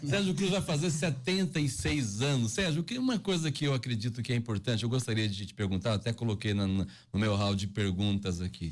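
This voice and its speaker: On a very clean recording with a silent background, a somewhat breathy man speaks at a medium pitch. He moves at a fairly quick pace with hardly any pauses and very wide pitch swings. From Brazil, Mato Grosso. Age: 40s. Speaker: radio host. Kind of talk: casual interview.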